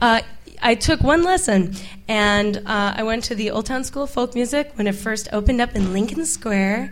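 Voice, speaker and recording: A fairly high-pitched woman at a moderate pace with ordinary pitch variation, amid noticeable background noise. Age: 20s. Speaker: musician. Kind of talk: casual interview. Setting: stage with audience.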